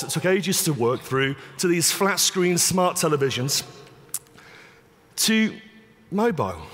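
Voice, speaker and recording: Here a man speaks with an English accent at a high pitch, his intonation lively. He leaves long, frequent pauses. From England. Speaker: conference speaker, digital media expert. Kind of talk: conference keynote talk.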